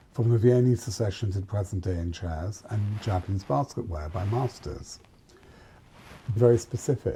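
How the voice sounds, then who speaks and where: A man's fairly low, somewhat breathy voice with a dark, mellow tone, ordinary pitch variation and a moderate pace. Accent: British. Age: 60s. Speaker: fashion and interior designer. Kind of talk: interview conversation. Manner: halting.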